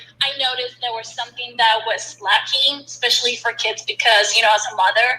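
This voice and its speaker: Fairly quick pace and fairly even intonation amid noticeable background noise. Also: woman, high pitch for a woman. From Colombia. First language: Spanish. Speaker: startup founder. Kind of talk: casual interview.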